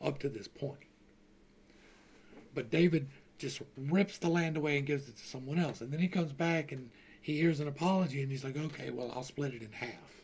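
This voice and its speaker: Somewhat breathy and fairly high-pitched, a man speaks with an American accent and ordinary pitch variation. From Louisiana, US South. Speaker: Bible study teacher, YouTuber. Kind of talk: Bible study with reading aloud and commentary. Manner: casual, self-correcting.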